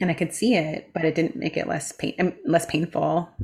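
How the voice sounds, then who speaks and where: At a fairly slow pace, a woman speaks with a very deep, low pitch, vocal fry, and fairly even intonation. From US Midwest, Chicago. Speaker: meditation teacher and author. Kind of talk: casual chat.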